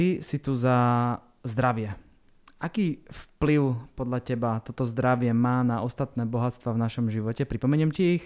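A man talks at medium pitch and a fairly slow pace in a plain, everyday voice, with ordinary pitch variation. The recording is very clean with a silent background. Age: 40s. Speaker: podcast host. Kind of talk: casual interview.

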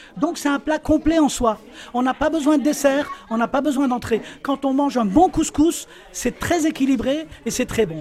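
A man speaks at an extremely high pitch. Noticeable background noise runs underneath. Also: ordinary pitch variation, moderate pace. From Algeria (Tlemcen). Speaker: interviewee on food. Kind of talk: interview.

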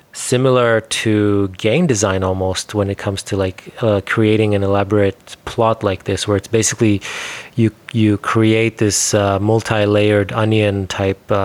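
An unremarkable speaking voice from a man, fairly low in pitch, at a moderate pace with fairly even intonation and a dry, close sound with no echo. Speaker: podcast host. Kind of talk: interview conversation.

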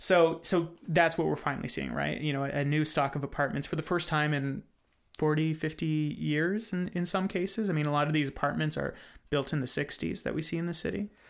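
In a very clean recording with a silent background, a man with a fairly high pitch and an unremarkable speaking voice talks at a fairly quick pace with fairly even intonation. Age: 30s. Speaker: magazine editor and podcast host. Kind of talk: interview. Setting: studio.

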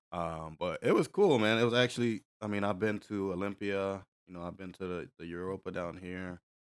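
A man with an American accent talks at a fairly quick pace with hardly any pauses, fairly low pitch, fairly even intonation and big swings in loudness, in an unremarkable speaking voice. The sound is dry and close with no echo, on a very clean recording with a silent background. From US Northeast, Hartford, Connecticut. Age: 30s. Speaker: bodybuilding competitor and personal trainer. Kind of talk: casual chat.

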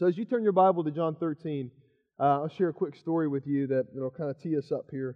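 A man's fairly quick, fairly high-pitched speech in a normal speaking voice, with ordinary pitch variation. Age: 30s. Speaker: pastor. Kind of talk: sermon.

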